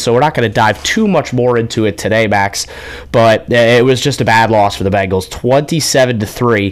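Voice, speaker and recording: A man's voice, with normal pitch movement, comes through clearly noticeable background noise. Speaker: radio sports host. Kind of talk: live radio sports talk. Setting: radio studio.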